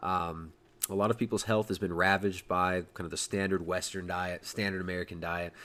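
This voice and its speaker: A man with a Californian accent at a fairly quick pace. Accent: California. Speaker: podcast host. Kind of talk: casual chat. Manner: hesitant with fillers.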